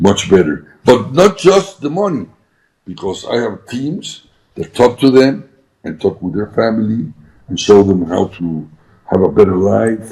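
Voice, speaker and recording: A man's fairly low, dark, mellow voice with lively intonation, a fairly slow pace and big swings in loudness. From Mexico. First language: Spanish. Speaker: businessman. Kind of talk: interview. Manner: halting.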